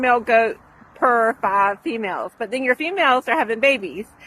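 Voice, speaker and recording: The woman has a high pitch and a bright, sharp tone. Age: 50s. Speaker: small farmer. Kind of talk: casual tutorial. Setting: outdoors. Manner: conversational, with many fillers.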